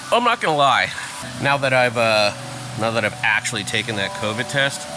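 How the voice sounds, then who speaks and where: Over noticeable background noise, a man with an American accent speaks at a moderate pace and medium pitch, with ordinary pitch variation and long, frequent pauses. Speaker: wedding photographer and vlogger. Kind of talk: casual vlog. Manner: soft-spoken.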